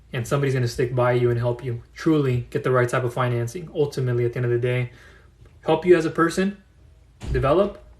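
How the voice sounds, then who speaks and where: Talking at a very fast pace, a man uses a medium-pitched, somewhat breathy voice. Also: ordinary pitch variation. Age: 30s. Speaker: business funding consultant. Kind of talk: live audio room talk.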